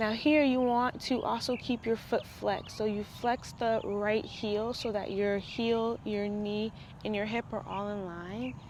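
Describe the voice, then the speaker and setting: This woman has a plain, everyday voice with a fairly high pitch. She speaks at a fairly slow pace with ordinary pitch variation. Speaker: yoga teacher. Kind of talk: tutorial. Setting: voiceover. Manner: soft-spoken.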